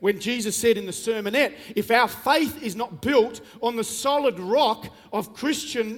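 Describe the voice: Plain reading aloud with ordinary pitch variation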